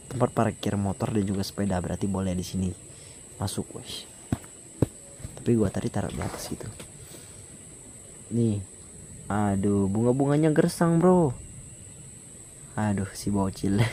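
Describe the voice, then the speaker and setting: A man with a fairly low pitch at a moderate pace, with long, frequent pauses and noticeable background noise. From South Sumatra, Indonesia. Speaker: travel vlogger. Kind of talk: casual vlog walkthrough. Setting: outdoors by a river. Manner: volume varies, sometimes loud sometimes quiet.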